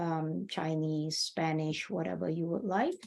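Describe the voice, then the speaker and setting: A woman with a Malaysian accent speaks in a dark, mellow tone. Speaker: workshop presenter. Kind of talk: tutorial. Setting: video call. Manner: casual, with many fillers.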